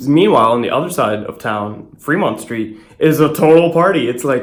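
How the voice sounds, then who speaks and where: A man's voice carries audible room echo. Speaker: vlogger. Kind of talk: casual travel vlog. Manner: fast. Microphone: echo in room.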